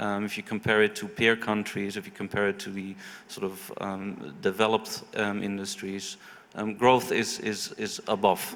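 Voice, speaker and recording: Over noticeable background noise, a man with a Dutch accent speaks at a moderate pace in a fairly low pitch, his intonation monotone and flat. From Netherlands. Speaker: investment consultant. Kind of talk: panel discussion. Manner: halting, many fillers and repetitions.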